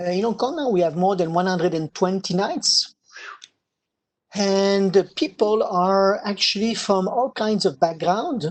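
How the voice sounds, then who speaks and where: A man's high voice in a French accent, fairly slow, with ordinary pitch variation. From French Canada. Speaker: wine society leader. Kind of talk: interview. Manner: hesitant with many fillers.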